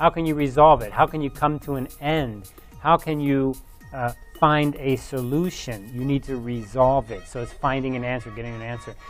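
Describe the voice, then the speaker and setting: Faint music sits behind a man talking at a moderate pace with fairly even intonation. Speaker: university professor. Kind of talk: lecture. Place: studio.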